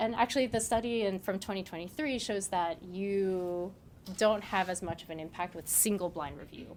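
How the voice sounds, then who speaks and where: At a moderate pace, a woman with a medium pitch talks with ordinary pitch variation and big swings in loudness. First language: not English. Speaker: data scientist. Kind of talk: conference talk. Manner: casual, conversational.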